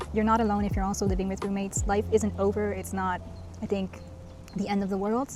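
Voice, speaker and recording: Music sounds in the background. Over it, a woman speaks very fast. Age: 30s. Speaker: vlogger. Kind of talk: casual vlog talk to camera. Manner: conversational with filler words.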